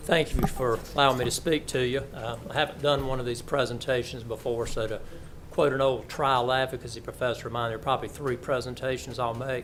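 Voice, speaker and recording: A man in a Southern US accent at a fairly quick pace, medium pitch and monotone, flat intonation. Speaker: lawyer and cancer patient. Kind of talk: testimony. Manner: halting.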